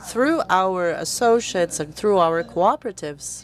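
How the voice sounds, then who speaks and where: Lively intonation from a woman with a normal speaking voice, medium in pitch, at a moderate pace. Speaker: foundation representative, panelist. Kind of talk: panel talk.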